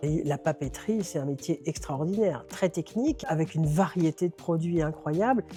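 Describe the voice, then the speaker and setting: With music in the background, a woman with a very deep, low voice speaks at a moderate pace with ordinary pitch variation. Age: 60s. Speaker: bookshop owner. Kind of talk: interview monologue. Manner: some hesitations.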